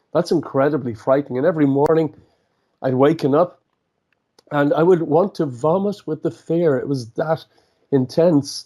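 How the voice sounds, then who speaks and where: A man with a fairly high pitch and a dark, mellow tone, at a moderate pace with ordinary pitch variation and long, frequent pauses. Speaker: entrepreneur and author. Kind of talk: interview. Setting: radio show. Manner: halting, frequent repetitions.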